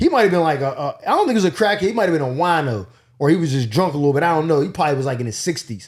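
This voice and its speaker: A very fast, animated voice with a Pittsburgh accent and lively intonation, on a very clean recording with a silent background. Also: man. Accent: Pittsburgh accent, mistaken for New York. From Pittsburgh, Pennsylvania, US. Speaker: comedian. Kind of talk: casual storytelling.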